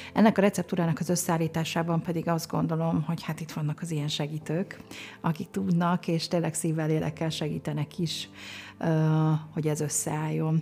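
A woman speaks with a very deep, low voice. Her intonation stays fairly even. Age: 50s. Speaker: podcast host. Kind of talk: podcast interview; show outro announcement.

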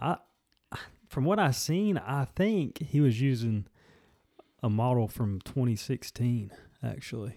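On a very clean recording with a silent background, a man with a medium-pitched voice talks fairly slowly with lively intonation and long, frequent pauses. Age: 20s. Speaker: golf podcast co-host. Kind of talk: casual chat.

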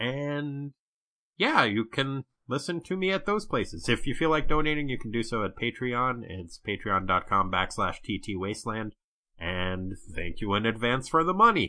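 A man's medium-pitched voice swings very widely in pitch as he talks at a moderate pace. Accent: New England. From New Hampshire. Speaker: podcaster guest. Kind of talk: casual chat.

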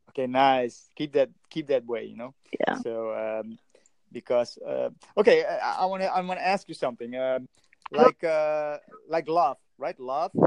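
A man with a Dutch accent is heard in a dry, close sound with no echo. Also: fairly slow pace. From Netherlands. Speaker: language practice chat partner. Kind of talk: casual chat. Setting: online voice call. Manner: halting.

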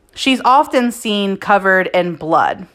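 In a normal speaking voice, a woman talks at a fairly high pitch with lively intonation. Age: 30s. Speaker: podcast host. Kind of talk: scripted narration. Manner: casual.

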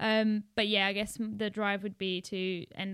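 In a South African accent, the speaker talks at a moderate pace with monotone, flat intonation. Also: woman. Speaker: student. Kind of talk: casual chat.

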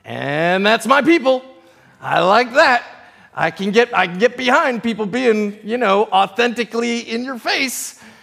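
An American-accented man at a fairly slow pace, his pitch extremely high, amid noticeable background noise. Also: ordinary pitch variation. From US East Coast, tri-state area. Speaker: pastor. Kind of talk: sermon. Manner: halting.

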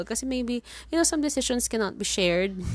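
With a Filipino accent, a woman speaks at a fairly high pitch, her intonation lively. The background is quiet. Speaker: podcast host. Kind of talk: casual solo monologue. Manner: Taglish code-switching.

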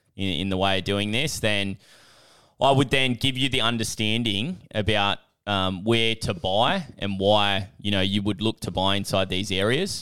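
A man with an Australian accent at a moderate pace, fairly low-pitched with ordinary pitch variation. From Australia, Newcastle NSW. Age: 20s. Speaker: business coach and property investor. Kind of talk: casual interview.

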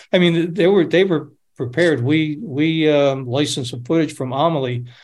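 In a room with audible echo, a man with an American accent speaks at a moderate pace, somewhat breathy, with ordinary pitch variation. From upstate New York. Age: 70s. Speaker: documentary director. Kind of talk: casual chat. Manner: halting.

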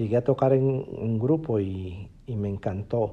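Very slowly, a man speaks in a dark, mellow tone. His pitch shows ordinary variation. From Peru, Piura. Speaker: musician and online music teacher. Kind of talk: personal diary podcast monologue. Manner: halting, many fillers.

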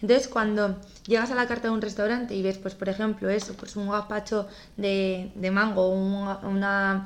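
Here a woman speaks at a moderate pace. Her pitch sits in the medium range. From Navarra, northern Spain. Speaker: podcast host. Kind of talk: interview.

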